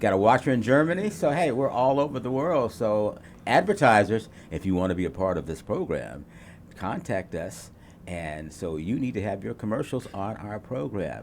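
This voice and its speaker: The voice moves at a moderate pace, its pitch swinging very widely. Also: man, fairly low pitch for a man. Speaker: TV talk show host. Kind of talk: casual panel talk show.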